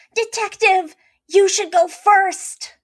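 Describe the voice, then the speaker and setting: Squeaky and pitched extremely high for a woman, a female-sounding put-on character voice comes through. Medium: read story. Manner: energetic, earnest.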